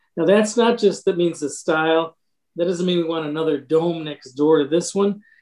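A man with an American accent speaks in a high voice with fairly even intonation. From Michigan. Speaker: historic preservation advocate. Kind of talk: podcast interview.

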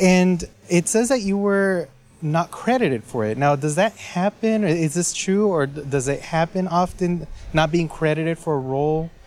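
There is noticeable background noise behind this man. He talks at a moderate pace with a high pitch and ordinary pitch variation. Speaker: co-interviewer. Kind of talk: interview.

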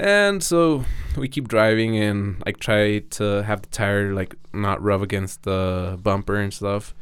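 In a very clean recording with a silent background, a man with a Mexican accent talks at a fairly slow pace, his fairly low pitch showing ordinary variation. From Mexico. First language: Spanish. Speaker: BMX rider. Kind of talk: casual chat. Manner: halting.

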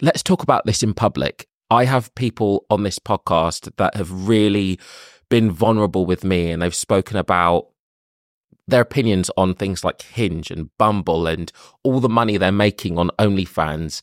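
Someone with a London accent speaks at a moderate pace with ordinary pitch variation, the recording very clean with a silent background and a dry, close sound with no echo. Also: man, fairly low pitch for a man. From London, England. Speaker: podcast host. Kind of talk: casual monologue introduction.

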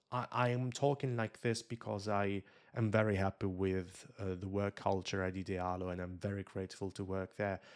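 A man with an Italian accent speaks at a moderate pace in a fairly low voice, his intonation fairly even, on a very clean recording with a silent background. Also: dry, close sound with no echo. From Italy. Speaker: YouTuber and influencer. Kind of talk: interview conversation.

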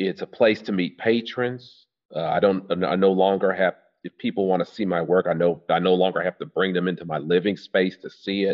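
Talking at a fairly quick pace with fairly even intonation, a man speaks in a very deep, low voice with an American accent. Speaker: artist, retired teacher. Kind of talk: interview, casual chat. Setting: studio.

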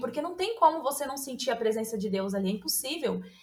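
A woman talks with lively intonation. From São Paulo state, Brazil. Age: 30s. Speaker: nutritionist, podcast listener guest. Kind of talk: casual chat.

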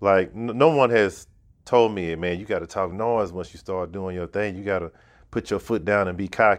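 Against a quiet background, a man with a normal speaking voice and a fairly low pitch talks at a moderate pace, with ordinary pitch variation and big swings in loudness. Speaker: filmmaker. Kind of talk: casual chat.

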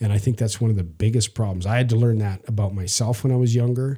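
Delivered at a very fast pace, the voice has a dark, mellow tone, a somewhat breathy quality, ordinary pitch variation and a Canadian prairie accent, on a very clean recording with a silent background. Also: man. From Canada, Saskatchewan prairies. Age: 50s. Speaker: podcast host. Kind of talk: casual chat. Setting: studio.

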